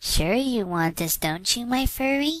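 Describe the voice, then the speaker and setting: A woman puts on a character voice at a high pitch, swinging very widely in pitch at a moderate pace. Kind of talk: horror fanfic reading. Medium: read story. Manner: soft, sweet-voiced.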